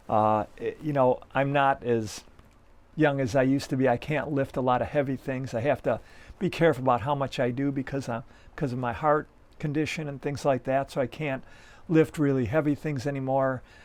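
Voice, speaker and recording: A man's fairly high voice at a fairly quick pace, with fairly even intonation and a quiet background. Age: 60s. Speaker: ambient musician. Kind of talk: casual chat. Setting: home practice space. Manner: halting, many fillers.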